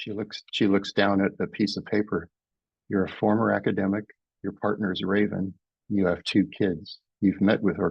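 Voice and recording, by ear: A natural voice reads aloud, and the background is quiet.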